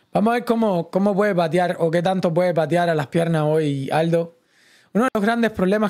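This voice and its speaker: Over a quiet background, a man talks at a high pitch with ordinary pitch variation. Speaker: streamer commentating live fights. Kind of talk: live sports commentary, casual watch-along stream. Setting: online livestream. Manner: animated, fast, chatty, excitable; opinionated, conversational, addresses chat directly. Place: home room. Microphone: studio mic.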